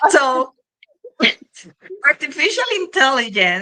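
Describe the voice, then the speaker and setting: A woman with a non-native accent speaks at a high pitch in a raised, projected voice. Her tone is animated. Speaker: podcast host. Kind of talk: interview.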